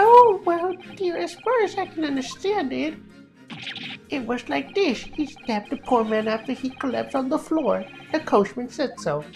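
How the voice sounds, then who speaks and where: A put-on character voice, high in pitch, at a moderate pace over clear music in the background. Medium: game stream. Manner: fussy, twittering.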